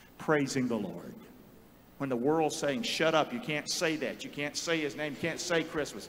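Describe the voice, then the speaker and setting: Light background noise sits under a man's fairly high voice. He talks fairly quickly with a Southern US accent. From North Carolina. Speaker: pastor. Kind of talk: sermon. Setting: church. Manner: animated. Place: church. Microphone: handheld.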